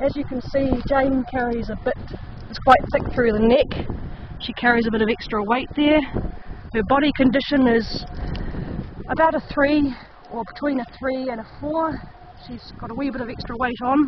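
A woman speaks at a high pitch and a moderate pace, with fairly even intonation and long, frequent pauses. The sound is dry with no echo, and noticeable background noise is present. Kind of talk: tutorial. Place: open country. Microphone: phone near.

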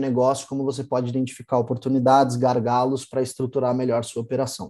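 A man's dark, mellow tone at a fairly quick pace over a quiet background. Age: 20s. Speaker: e-commerce specialist; presenter. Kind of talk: online workshop lecture. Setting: live online stream. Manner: hesitant, many filler sounds. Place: home room.

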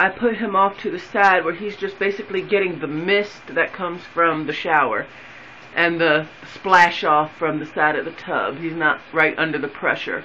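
The speech moves at a moderate pace. Light background noise is audible. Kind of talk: casual tutorial narration. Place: bathroom. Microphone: phone near.

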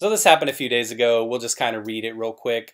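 With a quiet background, a man speaks at a fairly quick pace. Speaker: political commentator vlogger. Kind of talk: casual commentary. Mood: joking, laughing, mocking. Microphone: webcam.

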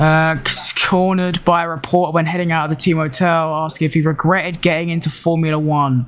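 A man speaks at a fairly quick pace with a fairly high pitch. His tone is fairly bright, and his pitch moves little.

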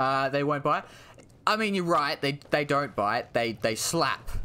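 Speaking very slowly with an Australian accent, a man uses a bright, sharp tone, a fairly high pitch, and lively intonation. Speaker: gaming streamer. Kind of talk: live gameplay commentary. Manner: animated.

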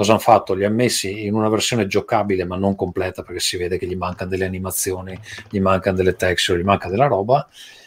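Very fast speech with fairly even intonation. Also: man, very deep, low pitch for a man. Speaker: podcast host. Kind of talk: casual chat. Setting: recording at home. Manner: soft-spoken.

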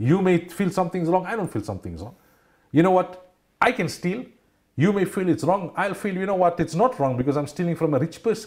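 Speaking at a fairly quick pace, a man with a high pitch and ordinary pitch variation is heard over a quiet background. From South Africa. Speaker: Islamic scholar and radio personality. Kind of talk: religious talk show discussion. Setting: TV studio. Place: studio. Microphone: lapel.

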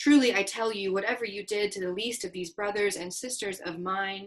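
A woman at medium pitch, moderate pace, and ordinary pitch variation

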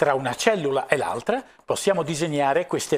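The pace of this man's speech is moderate. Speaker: cosmetics lecturer. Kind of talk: lecture. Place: studio. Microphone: lapel.

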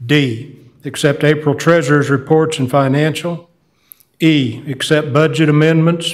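In a quiet background, a man with an American accent speaks at a fairly high pitch and a fairly slow pace, his intonation monotone and flat and his loudness very even. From US South. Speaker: mayor chairing town council meeting. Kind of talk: formal meeting proceedings. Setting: town council chamber. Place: meeting room.

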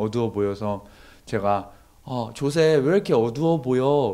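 The man's pitch swings very widely. He keeps to a moderate pace. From South Korea. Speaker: overseas volunteer; guest. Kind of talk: testimony. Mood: earnest, warm testimony. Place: studio. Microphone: handheld.

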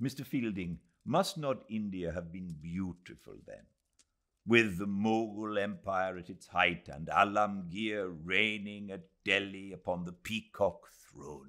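A man puts on a character voice, low-pitched with a bright, sharp tone, ordinary pitch variation and a fairly slow pace.

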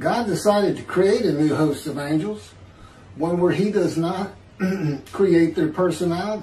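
There is light background noise and audible room echo as a man with a high pitch speaks with ordinary pitch variation. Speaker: religious commentator. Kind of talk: sermon. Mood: earnest, measured.

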